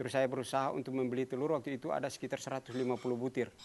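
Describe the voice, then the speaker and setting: A man talks at a medium pitch. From Haruku island, Central Maluku, Indonesia. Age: 60s. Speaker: traditional village guardian and environmental conservationist. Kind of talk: interview answer. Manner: casual, hesitant.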